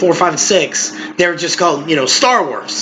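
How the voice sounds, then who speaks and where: A man's high voice at a moderate pace, with noticeable background noise. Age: 20s. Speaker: podcast co-host. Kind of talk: casual chat.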